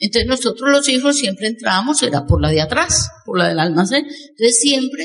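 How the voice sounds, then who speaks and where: The pitch of this woman's voice swings very widely. She talks at a moderate speed. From Colombia. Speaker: network marketing speaker. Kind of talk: motivational talk. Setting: stage with audience.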